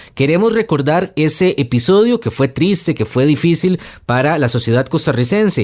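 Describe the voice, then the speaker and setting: On a very clean recording with a silent background, a man with an unremarkable speaking voice speaks at a moderate pace and fairly high pitch, his intonation lively and his loudness very even. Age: young. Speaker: podcast host. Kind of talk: news podcast narration.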